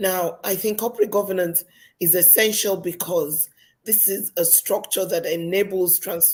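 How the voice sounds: Speaking at a moderate pace, a woman has a fairly low, raspy voice with a slightly husky edge and fairly even intonation.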